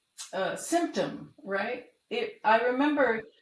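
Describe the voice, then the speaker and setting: A woman's somewhat breathy voice. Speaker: classically trained singer and composer. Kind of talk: interview.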